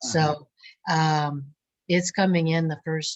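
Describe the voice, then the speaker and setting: A somewhat breathy woman's voice, very deep and low in pitch, with fairly even intonation. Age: 70s. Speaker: art student. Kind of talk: casual chat.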